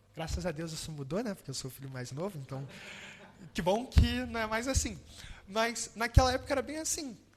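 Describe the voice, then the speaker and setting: A high-pitched man speaks fairly quickly in a Rio de Janeiro accent. His pitch swings very widely and his loudness rises and falls sharply. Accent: Carioca Brazilian Portuguese. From Brazil, Rio de Janeiro. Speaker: preacher. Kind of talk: sermon.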